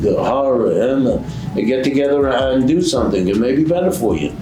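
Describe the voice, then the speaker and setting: A man at a fairly quick pace with ordinary pitch variation, audible room echo, and noticeable background noise. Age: 90s. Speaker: veteran business broker. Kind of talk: casual interview. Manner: halting.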